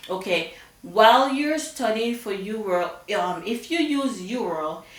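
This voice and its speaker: A woman of medium pitch speaks with very wide pitch swings. Audible room echo and noticeable background noise surround her voice. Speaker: nursing coach. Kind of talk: tutorial. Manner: animated.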